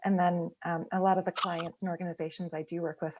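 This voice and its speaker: A woman's fairly low-pitched voice with an American accent and monotone, flat intonation. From United States. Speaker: agile consultant. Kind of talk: panel discussion. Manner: halting, many fillers.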